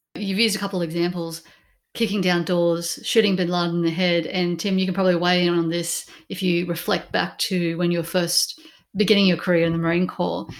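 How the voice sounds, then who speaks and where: A woman with an Australian accent talks at a fairly quick pace, her fairly low pitch held in a flat monotone. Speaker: podcast host. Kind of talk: interview hosting.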